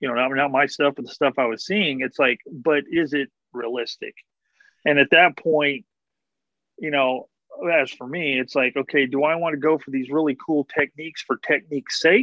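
A man talks with fairly even intonation. The sound is dry with no echo, over a quiet background. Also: moderate pace. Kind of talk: casual conversation. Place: home room. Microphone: video call.

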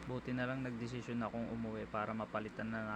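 A man speaks very fast at medium pitch. His intonation is a flat monotone. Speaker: motorcycle ride-hailing driver and vlogger. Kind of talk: vlog voiceover narration. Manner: casual, fast.

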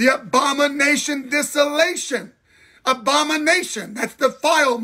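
A man's raised, projected voice, extremely high in pitch, animated in tone and fairly slow, over a quiet background. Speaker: pastor. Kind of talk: livestream bible teaching. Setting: live video stream. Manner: animated, repetitive preaching. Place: home room. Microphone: phone near.

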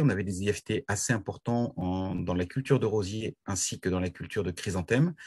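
A man talks at a moderate pace with ordinary pitch variation over a quiet background. It is a plain, everyday voice. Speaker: horticulturist. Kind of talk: presentation. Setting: video call. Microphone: video call.

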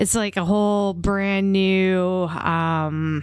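The background is quiet and the sound is dry, with no echo. A woman speaks softly. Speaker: gaming streamer; game streamer. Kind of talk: casual chat. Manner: soft-spoken. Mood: upbeat, chatty. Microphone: new audio plugins, hopefully better sound; studio mic.

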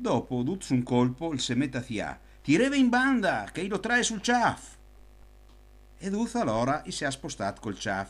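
A man speaks slowly at a fairly high pitch, with long, frequent pauses. His pitch swings very widely, and the recording is very clean with a silent background. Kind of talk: folk anecdote told in local dialect.

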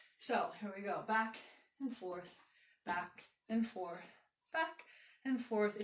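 Audible room echo surrounds a woman talking at a fairly slow pace. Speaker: exercise instructor. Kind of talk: tutorial. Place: home room. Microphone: camera far.

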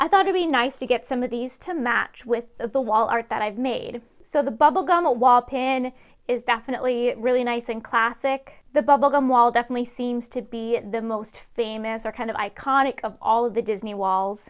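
Over a quiet background, a woman talks at a moderate pace in a high voice with ordinary pitch variation. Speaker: pin collecting vlogger. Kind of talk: casual haul vlog chat. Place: home room. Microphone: lapel.

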